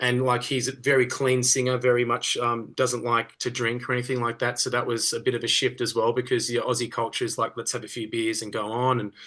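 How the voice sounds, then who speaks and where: A man with an Australian accent speaks at a fairly quick pace with hardly any pauses, his pitch medium. His tone is bright and sharp, and his intonation is flat and monotone. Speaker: rock singer. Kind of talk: casual interview.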